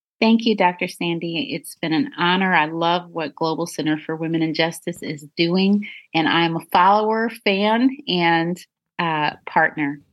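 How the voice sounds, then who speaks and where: A woman talks in an ordinary speaking voice at a fairly slow pace, her pitch fairly low with ordinary pitch variation. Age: 40s. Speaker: anti-trafficking advocate and survivor. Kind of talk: interview.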